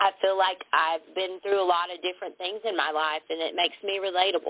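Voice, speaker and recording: A woman speaks at a moderate pace. Her voice sits fairly low in pitch. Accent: Southern US. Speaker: lingerie boutique owner. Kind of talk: interview answer.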